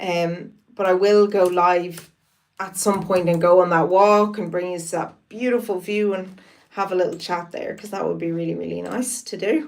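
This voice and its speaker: At a fairly slow pace, a woman in an Irish accent speaks with a medium pitch and ordinary pitch variation. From Ireland, Wicklow. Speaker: live streamer. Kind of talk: casual live-stream chat.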